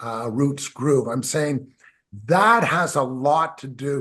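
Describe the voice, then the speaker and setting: A man's very slow, lively voice, fairly high in pitch, with a bright, sharp tone. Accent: Canadian. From Canada. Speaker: musician. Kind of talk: interview. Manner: animated.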